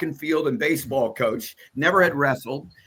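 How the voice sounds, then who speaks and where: Here is a man with a Midwestern US accent. His tone is bright and sharp, and his intonation is lively. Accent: US Midwest. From Iowa. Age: 70s. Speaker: wrestling broadcaster. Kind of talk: podcast interview. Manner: halting with many fillers.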